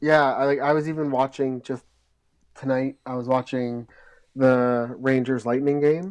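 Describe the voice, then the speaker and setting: A man talks fairly slowly in a normal speaking voice, his pitch medium and his intonation fairly even. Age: 30s. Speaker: hockey podcast co-host, amateur hockey player. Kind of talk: casual chat.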